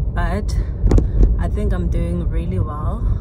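Music plays in the background as a woman speaks at a very slow pace. The sound is dry, with no echo. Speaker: vlogger. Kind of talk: casual vlog chat. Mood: reflective, gentle. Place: car. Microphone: phone near.

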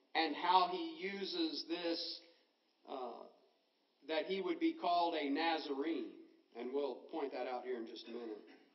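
Speech moves at a fairly slow pace with long, frequent pauses, and the room echo is audible. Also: man. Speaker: preacher. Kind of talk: sermon. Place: church. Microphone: podium.

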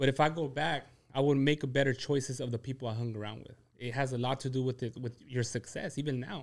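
Fairly even in intonation but with big swings in loudness, a man talks at a very fast pace. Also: quiet background. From San Diego–Tijuana border; San Diego. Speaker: restaurant entrepreneur; podcast guest. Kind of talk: casual chat, life story interview. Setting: at guest's home. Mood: reflective, candid. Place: studio. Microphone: studio mic.

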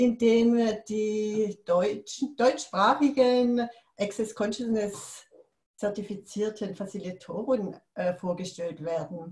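Speaking very slowly, a woman with a fairly high, somewhat breathy voice is heard with audible room echo. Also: ordinary pitch variation. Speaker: interview host. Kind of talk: podcast intro. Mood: friendly, smiling. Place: home room. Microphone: video call.

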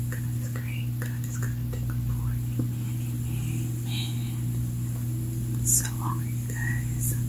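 Whispering, a woman speaks at a very slow pace. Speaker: food vlogger. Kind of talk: ASMR eating video talk to camera. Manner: whispered. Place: home room.

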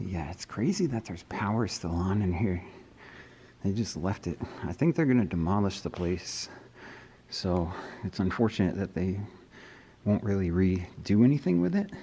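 A man's very deep, low voice with a dark, mellow tone, a moderate pace, long, frequent pauses and light background noise. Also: ordinary pitch variation. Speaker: urban explorer vlogger. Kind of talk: casual vlog chat. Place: hall. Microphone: phone near.

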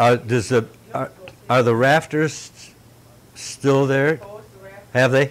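A man with an Upper Midwest accent speaks at a very slow pace, leaving long, frequent pauses. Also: medium pitch for a man. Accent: Upper Midwest American. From US Midwest (northern Michigan). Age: 70s. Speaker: elderly local resident interviewed for oral history. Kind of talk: oral history interview. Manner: halting.

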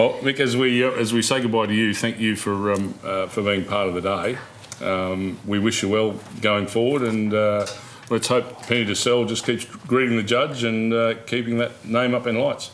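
Light background noise sits under a man with a medium pitch who speaks at a moderate pace with fairly even intonation. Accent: Australian. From Australia, Deniliquin NSW; New South Wales, Australia. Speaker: horse racing TV show host. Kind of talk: TV sports magazine show presenting. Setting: TV studio. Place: studio. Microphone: lapel.

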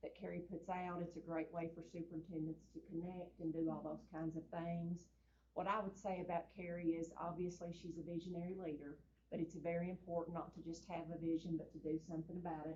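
A woman's dark, mellow, somewhat breathy voice in an Eastern Kentucky accent, fairly low and monotone, with a flat intonation at a fairly quick pace. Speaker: school superintendent. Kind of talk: speech at public meeting. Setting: school board meeting with audience. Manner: casual, folksy.

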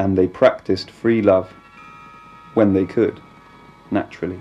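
With monotone, flat intonation, a man speaks at a fairly low pitch. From Britain. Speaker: narrator. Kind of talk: documentary narration. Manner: detached, objective, ironic.

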